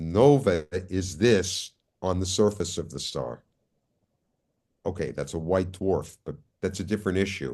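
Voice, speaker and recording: Against a quiet background, a man talks in a very deep, low voice with a dark, mellow tone, vocal fry and lively intonation. He goes at a fairly slow pace, leaving long, frequent pauses. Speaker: astrophysicist lecturer. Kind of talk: lecture. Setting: video call. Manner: deliberately slow.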